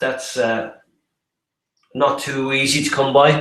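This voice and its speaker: Speaking very slowly, a man uses an Irish accent at a fairly high pitch. Room echo is audible. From Ireland. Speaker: property development presenter. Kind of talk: online webinar presentation. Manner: halting, many fillers and repetitions.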